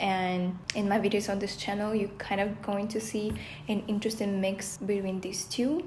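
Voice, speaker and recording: A woman's medium-pitched voice in a Russian accent, at a moderate pace with monotone, flat intonation and audible room echo. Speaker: vlogger, former chef. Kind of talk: casual vlog talk.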